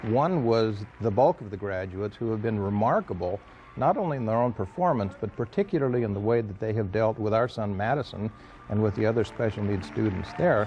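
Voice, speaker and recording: Over noticeable background noise, the voice moves at a fairly quick pace with ordinary pitch variation. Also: man, fairly low pitch for a man. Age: 60s. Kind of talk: interview.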